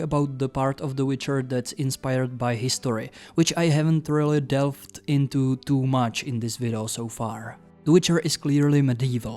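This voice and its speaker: A man's fairly high-pitched voice with a Czech accent. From Czech Republic. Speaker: YouTuber, book reviewer. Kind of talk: video essay.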